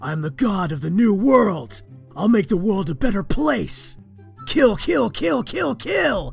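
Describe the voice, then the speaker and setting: In a put-on character voice, the speaker goes at a fairly slow pace while faint music plays in the background. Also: man, high pitch for a man. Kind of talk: comic dub. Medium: dub. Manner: manic, shouting.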